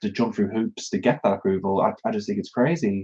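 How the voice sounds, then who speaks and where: With a British accent, a man speaks at a medium pitch in a dark, mellow tone, his pitch varying in an ordinary way. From northern England, Newcastle upon Tyne area. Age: 20s. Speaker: YouTuber. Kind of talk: live Q&A stream. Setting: live stream. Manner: halting, many fillers.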